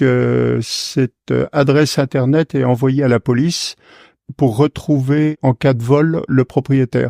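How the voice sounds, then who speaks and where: A man's medium-pitched voice, dark and mellow in tone, very slow, in a dry, close sound with no echo. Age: 60s. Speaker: retired forestry worker and poet. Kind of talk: interview testimony. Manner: hesitant, many filler sounds.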